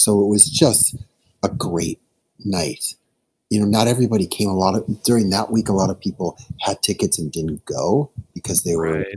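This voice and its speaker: A man uses an ordinary speaking voice at fairly low pitch and a moderate pace, with ordinary pitch variation. The sound is dry and close with no echo. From US Midwest, Chicago. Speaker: music artist manager. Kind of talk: casual interview chat.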